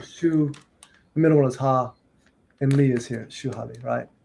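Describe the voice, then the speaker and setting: Somewhat breathy, a man with a fairly high pitch talks at a fairly quick pace with fairly even intonation, broken by long, frequent pauses. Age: 50s. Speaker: martial arts teacher. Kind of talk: interview.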